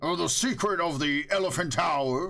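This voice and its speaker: Doing a put-on character voice, a man bellows loudly at a fairly high pitch with lively intonation and a moderate pace. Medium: read story. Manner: loud, bellowing, mocking.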